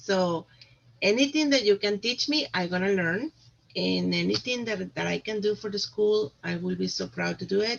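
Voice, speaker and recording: The pace is moderate. A woman talks with a Spanish accent. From Costa Rica. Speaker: parent volunteer, vice president nominee. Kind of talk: self-nomination speech at meeting.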